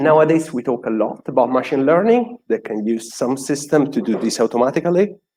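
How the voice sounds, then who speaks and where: A man's dark, mellow tone, ordinary pitch variation and a fairly quick pace, in a dry, close sound with no echo. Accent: Italian. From Italy. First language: Italian. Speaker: software developer, conference speaker. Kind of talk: conference talk.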